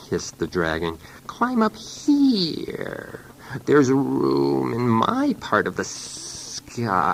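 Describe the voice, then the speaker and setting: A man's raspy put-on character voice at medium pitch, very slow, with hissing and clear background noise. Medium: read story.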